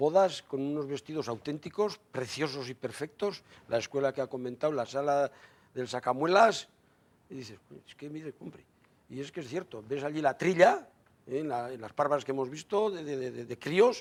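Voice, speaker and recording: A man with an ordinary speaking voice talks at a moderate pace and fairly high pitch, with ordinary pitch variation and big swings in loudness. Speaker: member of a traditional raftsmen association. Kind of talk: TV studio discussion.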